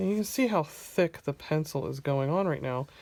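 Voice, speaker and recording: In a very clean recording with a silent background, a woman speaks with lively intonation. Her pitch is very deep and low. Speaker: artist. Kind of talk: tutorial. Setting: home studio, camera close overhead. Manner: chatty.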